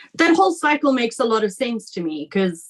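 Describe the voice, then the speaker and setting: The speech moves at a fairly quick pace with lively intonation. It is an ordinary speaking voice. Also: woman. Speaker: podcast host. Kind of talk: interview questions.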